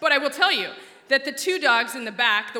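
A woman with an American accent uses a raised, projected voice and an animated tone with very wide pitch swings, over noticeable background noise. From Alaska. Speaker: storyteller. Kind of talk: personal storytelling talk.

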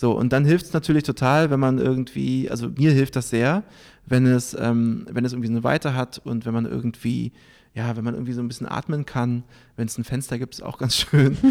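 The recording is very clean, with a silent background. A man with a normal speaking voice talks fairly quickly at medium pitch with ordinary pitch variation. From Berlin, Germany. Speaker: journalist and event moderator. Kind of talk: interview. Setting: on location in a Berlin club.

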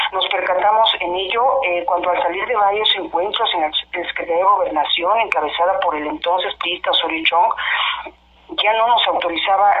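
Taking a fairly slow pace, a woman talks while noticeable background noise carries on behind her. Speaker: laid-off electrical worker, union activist. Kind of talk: phone interview. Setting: phone call. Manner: hesitant, many fillers.

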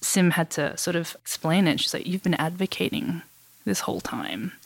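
Speaking at a fairly quick pace with an Australian accent, a woman with a fairly low pitch and vocal fry sounds dry and close with no echo on a very clean recording with a silent background. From Western Australia, Perth. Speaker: photographer. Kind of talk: interview conversation.

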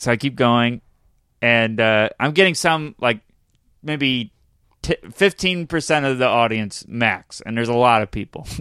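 With an upstate New York accent, a man speaks at a medium pitch in a bright, sharp tone with ordinary pitch variation. His pace is fairly slow with long, frequent pauses, on a very clean, dry and close recording with a silent background and no echo. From upstate New York (Syracuse). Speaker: comedian. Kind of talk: casual chat.

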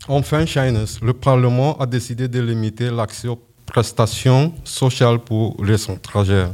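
A man's unremarkable speaking voice at a medium pitch, with fairly even intonation and a fairly slow pace. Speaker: amateur radio host, French learner. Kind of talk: scripted radio presenting. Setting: stage with audience.

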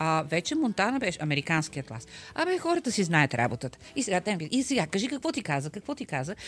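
A woman talks at a fairly quick pace with very wide pitch swings and hardly any pauses. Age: 60s. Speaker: interpreter and translator. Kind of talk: interview. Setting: studio. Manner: halting, many fillers.

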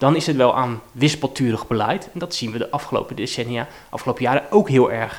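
Talking at a very fast pace, this man holds a medium pitch and varies it in an ordinary way. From Rotterdam-Zuid, Netherlands. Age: 30s. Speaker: politician. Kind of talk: interview. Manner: halting.

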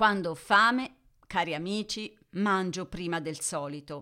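A woman talks very slowly in a bright, sharp tone on a very clean recording with a silent background. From Italy. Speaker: podcast host, Italian teacher. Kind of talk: educational monologue for Italian learners. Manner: clear, measured.

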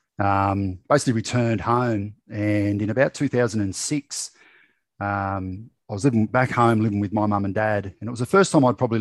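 Against a quiet background, a man with an Australian accent speaks in a fairly low pitch with fairly even intonation. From rural New South Wales, Australia. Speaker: mental health advocate and former reality TV contestant. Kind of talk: casual interview chat.

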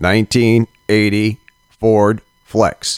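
Using a put-on, robotic character voice, a man speaks at a medium pitch with monotone, flat intonation.

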